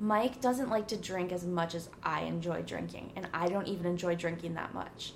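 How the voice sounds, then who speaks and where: A woman speaks at a fairly low pitch. Noticeable background noise runs under her voice. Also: ordinary pitch variation, moderate pace. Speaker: podcast host. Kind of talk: casual chat. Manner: loud; animated.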